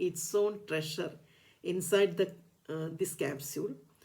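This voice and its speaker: In a Keralan accent, a woman talks at a fairly slow pace. Her tone is dark and mellow. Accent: Indian English, Malayali. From India, Kerala. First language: Malayalam. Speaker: ayurveda doctor and teacher. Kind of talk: educational talk. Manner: halting, many fillers.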